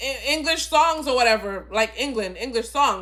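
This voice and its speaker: A woman projects a raised, high-pitched voice. Her pitch variation is ordinary. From immigrant, grew up outside the country she lives in. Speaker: film reviewer. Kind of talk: casual movie review monologue. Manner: halting, with frequent repetitions and fillers.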